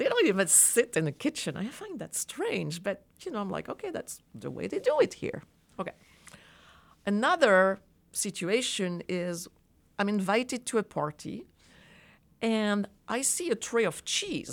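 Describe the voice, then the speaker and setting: With a French accent, a woman at medium pitch talks at a fairly slow pace, her voice making very wide pitch swings between long, frequent pauses. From France. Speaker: design professor. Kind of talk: interview. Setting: studio.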